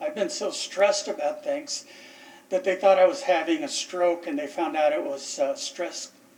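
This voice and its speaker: Pitch swings very widely here, with noticeable background noise behind the voice. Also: man. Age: 60s. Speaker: military veteran, respondent at code enforcement hearing. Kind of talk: testimony. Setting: city council chambers hearing. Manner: halting, with frequent repetitions.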